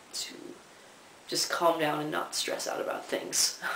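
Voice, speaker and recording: The speech comes at a fairly slow pace. Audible room echo and noticeable background noise are present. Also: man. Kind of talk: casual video diary. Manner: casual, lots of fillers.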